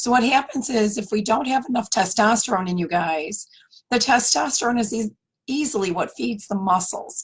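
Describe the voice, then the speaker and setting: Her voice is fairly high and has vocal fry. The woman moves at a moderate pace with lively intonation. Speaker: naturopathic doctor. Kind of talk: health talk video. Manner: casual, conversational.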